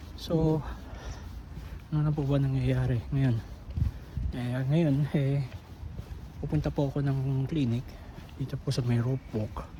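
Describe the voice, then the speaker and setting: Intonation stays fairly even at a fairly slow pace. Long, frequent pauses break up the speech. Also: man, medium pitch for a man. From Philippines. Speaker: vlogger. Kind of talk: casual vlog monologue. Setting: outdoors, walking on street. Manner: halting, many fillers.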